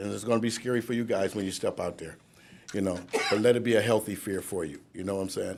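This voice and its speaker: At a fairly quick pace, a man with an American accent talks with ordinary pitch variation. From Cleveland, Ohio. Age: 60s. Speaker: recovery speaker, sober house founder. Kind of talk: speech at a graduation ceremony, testimony. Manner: halting, with repetitions and fillers.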